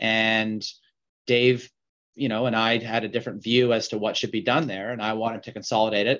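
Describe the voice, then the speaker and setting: At a moderate pace, a man with a Canadian accent speaks at a medium pitch in an ordinary speaking voice against a quiet background. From Vancouver, western Canada. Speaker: mining company CEO. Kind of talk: interview.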